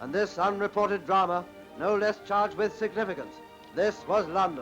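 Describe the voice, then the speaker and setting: There is music in the background as a man talks at a high pitch. His pitch variation is ordinary and his pace moderate. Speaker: newsreel narrator. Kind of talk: newsreel narration.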